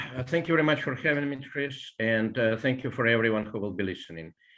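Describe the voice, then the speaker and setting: Lively intonation and a very fast pace mark this voice with a Russian accent. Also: man. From Russia, born in Ukraine. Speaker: biology professor and poet. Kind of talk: interview, explanatory history talk. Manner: hesitant with frequent fillers.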